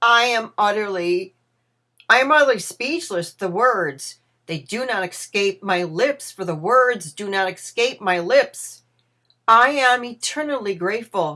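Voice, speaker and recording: Using a put-on character voice, a woman speaks raspily at a fairly slow pace, with a medium pitch and lively intonation. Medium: read story.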